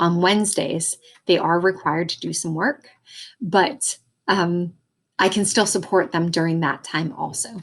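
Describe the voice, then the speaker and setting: A woman speaks with a fairly low pitch and ordinary pitch variation. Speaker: school teacher. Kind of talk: prerecorded parents' night presentation. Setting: recorded video presentation with slides. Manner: fast.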